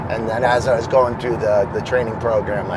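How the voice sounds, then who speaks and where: A man with an American accent at a very fast pace, medium pitch with ordinary variation, amid audible room echo and noticeable background noise. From Boston, US. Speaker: former school psychologist, field marketing director. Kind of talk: casual interview.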